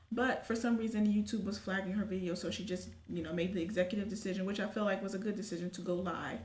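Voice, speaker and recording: A woman with an American accent at a very fast pace, medium pitch, ordinary pitch variation, audible room echo and noticeable background noise. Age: 20s. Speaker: YouTube commentary vlogger. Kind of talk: casual commentary.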